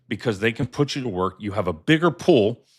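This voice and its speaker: On a very clean recording with a silent background, a plain, everyday voice moves at a moderate pace with lively intonation. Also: man. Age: 60s. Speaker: podcast co-host. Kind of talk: live podcast chat. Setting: live video stream.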